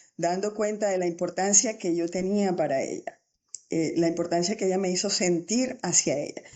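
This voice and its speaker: Medium in pitch, this woman has an ordinary speaking voice. Her pitch variation is ordinary. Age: 60s. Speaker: teacher. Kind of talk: interview.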